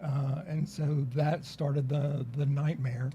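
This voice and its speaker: A somewhat breathy man's voice, fairly high in pitch, dark and mellow in tone, in a monotone, flat intonation. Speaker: lawyer. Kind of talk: casual chat. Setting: studio.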